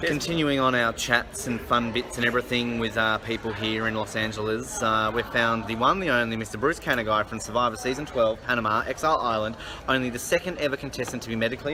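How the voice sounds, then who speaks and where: Over noticeable background noise, a man with an Australian accent talks very fast at a medium pitch with ordinary pitch variation. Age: 30s. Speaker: interviewer and podcast host. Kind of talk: casual interview. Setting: hotel lobby, event.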